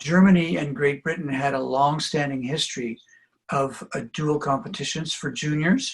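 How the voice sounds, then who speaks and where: A man speaks with a Canadian accent in a fairly high, somewhat breathy voice, using ordinary pitch variation. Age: 70s. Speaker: trampoline coach. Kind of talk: interview.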